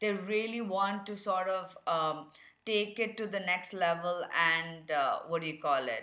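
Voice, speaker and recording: With a bright, sharp tone, a woman speaks at a medium pitch and a fairly slow pace, her pitch varying in an ordinary way amid audible room echo. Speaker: tarot card reader. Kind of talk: tarot reading.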